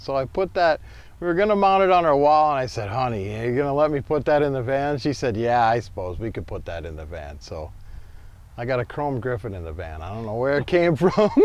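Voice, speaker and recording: In an American accent, a man talks at a fairly quick pace with very wide pitch swings and big swings in loudness. The sound is dry, with no echo. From Minnesota. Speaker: van owner and customizer. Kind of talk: casual show-and-tell tour.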